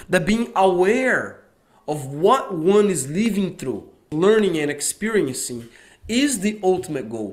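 Over a quiet background, a man with a high pitch talks at a fairly slow pace, his pitch swinging very widely. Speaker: video lecturer. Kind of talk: casual group discussion. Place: studio. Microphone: studio mic.

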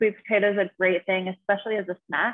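A woman with an American accent, medium pitch and a fairly quick pace against a quiet background. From US West, Nevada. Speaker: fitness and nutrition coach; nutrition coach. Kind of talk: casual interview. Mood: calm, informative. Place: home room. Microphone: video call.

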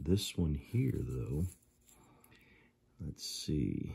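Very slow and somewhat breathy, a man's voice sits at a very deep, low pitch with a dark, mellow tone. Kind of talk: tutorial. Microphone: phone near.

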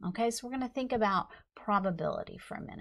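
With a quiet background, a woman talks. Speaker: instructor. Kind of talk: lecture. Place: studio.

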